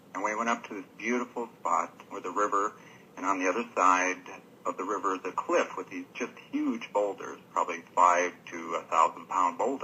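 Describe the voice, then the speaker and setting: A normal speaking voice from a man with an American accent, fairly low in pitch, with ordinary pitch variation, at a moderate pace. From Washington State, USA. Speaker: radio show caller. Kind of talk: telling a scary personal story on a call-in show. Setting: phone line.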